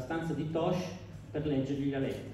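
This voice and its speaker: There is noticeable background noise as a man speaks in an animated tone. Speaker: stand-up comedian. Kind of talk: stand-up comedy. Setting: stage with audience. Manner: animated, punchline-driven delivery with pauses for audience laughter; mock-serious, sarcastic.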